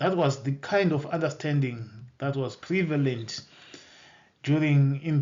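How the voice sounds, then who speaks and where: With a Zimbabwean accent, the speaker keeps a moderate pace and fairly even intonation amid audible room echo. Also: man. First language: Shona. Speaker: bible teacher. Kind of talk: bible teaching lecture. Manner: halting, with repetitions and self-corrections.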